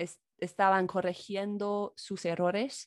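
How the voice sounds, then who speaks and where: In a quiet background, a woman with an English accent speaks at a medium pitch, the sound dry and close with no echo. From US, Chicago. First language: English (speaking Spanish). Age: 20s. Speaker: YouTuber and English teacher. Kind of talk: casual chat.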